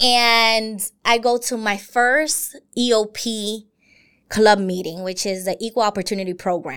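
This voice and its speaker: A woman speaks with an American accent in a plain, everyday voice, fairly high in pitch with ordinary pitch variation. She goes at a fairly slow pace, and the recording is very clean with a silent background. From US, Brooklyn, New York. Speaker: university diversity director. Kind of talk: interview.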